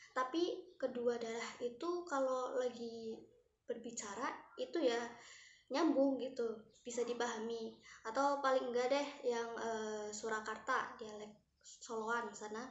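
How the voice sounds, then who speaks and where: A woman's high-pitched voice at a fairly slow pace, ordinary pitch variation, audible room echo. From Central Java, Banyumas region. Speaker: university student presenter. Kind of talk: student presentation.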